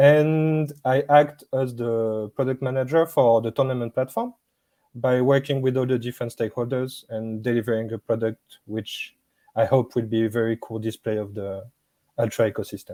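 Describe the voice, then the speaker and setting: A man's dark, mellow, medium-pitched voice at a moderate pace, fairly even in intonation, dry and close with no echo. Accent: French. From France. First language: French. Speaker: business product manager. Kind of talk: interview.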